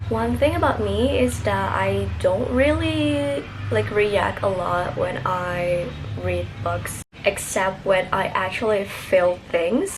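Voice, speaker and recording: A woman with an Indonesian accent at a very slow pace, with audible room echo and noticeable background noise. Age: 20s. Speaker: book vlogger. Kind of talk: casual vlog book review.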